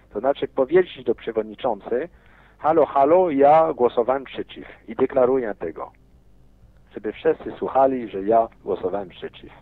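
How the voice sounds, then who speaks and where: The speaker has a non-native accent. The pace is moderate and the intonation lively. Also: man, medium pitch for a man. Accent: foreign-accented Polish. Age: 50s. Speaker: businessman. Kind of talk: interview. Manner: animated.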